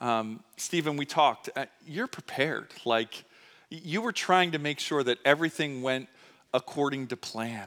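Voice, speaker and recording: The sound is dry and close, with no echo. A man talks in a bright, sharp tone. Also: fairly high pitch for a man, lively intonation, moderate pace. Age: 40s. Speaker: pastor. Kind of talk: sermon. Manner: conversational with many fillers.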